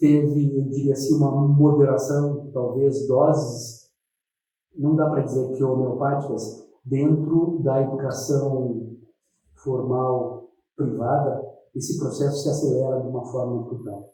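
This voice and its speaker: A man's somewhat breathy, dark and mellow voice sits at a fairly high pitch and moves at a fairly slow pace, with audible room echo. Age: 60s. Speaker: educational technician at a federal school. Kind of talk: interview testimony. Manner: hesitant, many fillers.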